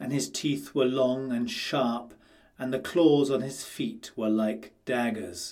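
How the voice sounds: The voice here is a natural reading voice.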